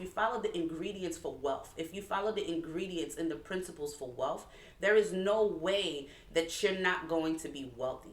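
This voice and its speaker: In a room with audible echo, a woman with a slight Haitian accent speaks at a moderate pace, her fairly low voice showing ordinary pitch variation. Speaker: nurse turned entrepreneur, co-host. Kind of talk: casual chat.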